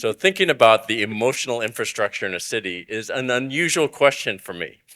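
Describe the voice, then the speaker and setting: Speaking in an American accent, a man has a normal speaking voice, a medium pitch, and lively intonation. He moves at a fairly quick pace on a very clean recording with a silent background. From United States. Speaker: conservation executive, panelist. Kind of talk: panel discussion.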